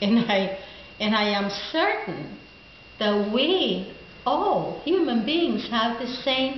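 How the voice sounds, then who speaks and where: A woman with a Spanish accent and a fairly high pitch at a very slow pace, with audible room echo and noticeable background noise. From Costa Rica. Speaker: former bilingual teacher, network marketer. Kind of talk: personal testimony to camera. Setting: daughter's home.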